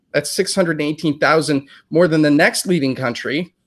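A man speaks at a moderate pace with a fairly high pitch and ordinary pitch variation. The recording is very clean, with a silent background. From United States. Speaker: news anchor. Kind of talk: interview. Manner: halting, many fillers.

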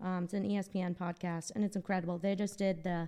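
A woman with an American accent talks at a fairly quick pace. Her voice is fairly low and her intonation is monotone and flat. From Boston. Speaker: podcast co-host. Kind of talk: casual chat.

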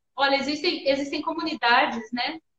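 With music in the background, a woman speaks at a high pitch with ordinary pitch variation. Her sound is dry and close, with no echo. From northern Minas Gerais, Brazil. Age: 30s. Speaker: salon owner and entrepreneur. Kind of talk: interview on a live stream.

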